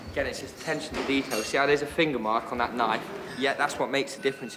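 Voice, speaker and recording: A man at a very fast pace with fairly even intonation, over noticeable background noise. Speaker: wedding events staff member. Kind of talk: on-the-job documentary talk. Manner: loud.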